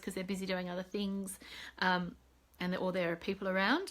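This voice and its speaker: An Australian accent with fairly even intonation. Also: woman. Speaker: psychologist and mentor. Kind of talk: live video update. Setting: Facebook live video. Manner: casual, many fillers.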